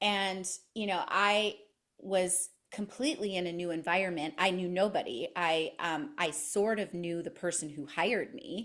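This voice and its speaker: In a quiet setting, a woman with a Canadian accent speaks in an unremarkable speaking voice, medium-pitched, at a moderate pace. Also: lively intonation. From Canada. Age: 50s. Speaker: podcaster and personal growth guest. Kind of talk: interview conversation.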